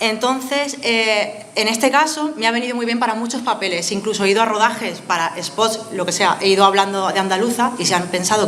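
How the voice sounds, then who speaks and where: Amid noticeable background noise and audible room echo, a woman with a fairly high pitch speaks at a very fast pace with hardly any pauses. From Spain, Villena (Alicante). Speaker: actress. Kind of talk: interview.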